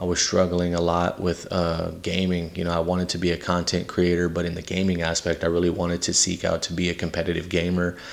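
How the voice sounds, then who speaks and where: Using a very deep, low pitch and monotone, flat intonation, a man with a Southern US accent speaks at a very fast pace. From Texas (San Antonio, Victoria) and Louisiana. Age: 30s. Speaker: podcast host. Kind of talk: personal testimony. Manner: casual with many fillers.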